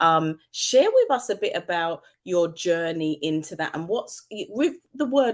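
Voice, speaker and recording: She is a woman with a British accent. Her pitch is fairly low and her intonation lively. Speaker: talk show host. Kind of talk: interview.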